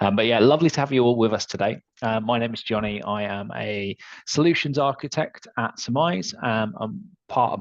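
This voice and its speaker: At a fairly quick pace, a man with a Manchester accent speaks at medium pitch against a quiet background. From northern England, Manchester. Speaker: software solutions architect. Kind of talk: webinar discussion.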